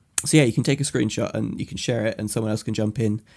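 The recording is very clean, with a silent background. A man speaks at a medium pitch with vocal fry and ordinary pitch variation. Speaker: podcast host. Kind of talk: casual banter podcast.

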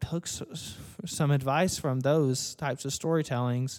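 A man's fairly high-pitched, an ordinary speaking voice with ordinary pitch variation, in a very clean recording against a silent background. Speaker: podcast host. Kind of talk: casual chat.

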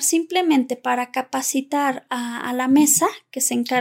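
A woman's high voice at a moderate pace, dry and close with no echo. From Zacatecas, Mexico (Ojocaliente). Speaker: lawyer and podcast co-host. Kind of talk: casual conversation.

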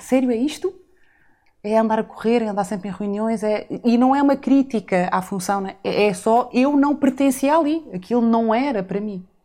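A woman's fairly high voice with a dark, mellow tone, moderate pace and ordinary pitch variation, on a very clean recording with a silent background. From Azores, São Miguel. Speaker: retreat facilitator and podcaster. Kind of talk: interview conversation. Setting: studio.

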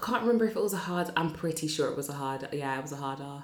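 A woman's animated voice at a very fast pace. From Northampton, England. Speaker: podcast host. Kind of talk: casual chat. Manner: animated, excitable.

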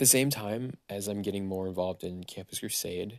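Against a quiet background, a man with a normal speaking voice and a fairly low pitch talks at a moderate pace with lively intonation. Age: 30s. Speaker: podcast host sharing his life story. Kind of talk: personal monologue. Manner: casual with frequent fillers.

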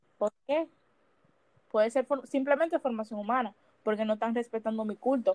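Speaking at a moderate pace with long, frequent pauses, a woman uses a fairly high pitch and ordinary pitch variation, the sound dry and close with no echo. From Dominican Republic. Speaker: podcast co-host. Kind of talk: casual chat.

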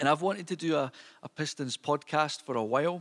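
A man speaks at a moderate pace with a Scottish accent and ordinary pitch variation. The sound is dry and close with no echo, on a very clean recording with a silent background. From Scotland. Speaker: podcast host. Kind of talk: solo podcast monologue. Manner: informal, hesitant with fillers.

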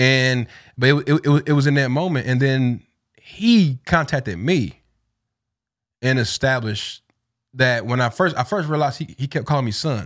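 Speaking with a Southern US accent at a moderate pace, a man with medium pitch and ordinary pitch variation leaves long, frequent pauses on a very clean recording with a silent background. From East Tennessee. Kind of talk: casual interview.

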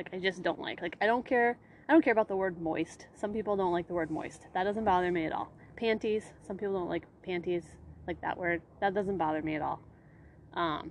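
An unremarkable speaking voice from a woman, medium in pitch, with ordinary pitch variation at a fairly quick pace. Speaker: podcast host. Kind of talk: casual banter. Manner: casual, chatty.

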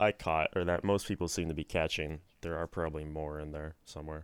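Speech moves at a fairly quick pace. The recording is very clean and silent behind, with a dry, close sound and no echo. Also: man. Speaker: podcast co-host. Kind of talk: casual chat.

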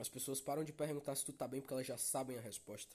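A man at a medium pitch talks at a very fast pace. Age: young. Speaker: podcast host. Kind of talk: casual monologue.

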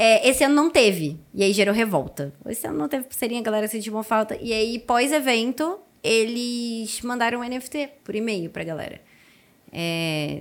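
A woman's fairly high voice with lively intonation at a moderate pace, in a slight Carioca accent. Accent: carioca accent barely noticeable. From Rio de Janeiro, Brazil. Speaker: Web3 content creator. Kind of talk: casual chat.

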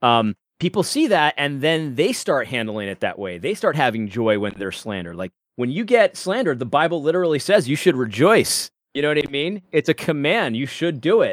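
Fairly high in pitch with very wide pitch swings, a man speaks at a fairly quick pace on a very clean, dry recording, close with no echo and a silent background. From Puerto Rico. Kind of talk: casual chat. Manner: halting, many repeated words.

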